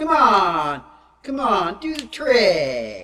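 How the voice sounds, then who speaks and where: This is a put-on character voice that sounds female, medium in pitch for a woman. Its pitch swings very widely. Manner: insistent, urging.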